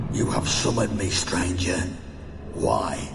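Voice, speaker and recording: In a put-on character voice, a man talks at a fairly slow pace with a clear echo and loud background noise. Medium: machinima.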